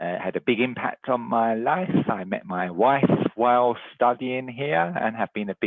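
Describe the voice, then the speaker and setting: The speaker is a man talking at a moderate pace. His pitch varies in an ordinary way. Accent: English. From England, London. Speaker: university recruitment director. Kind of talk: presentation. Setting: video call.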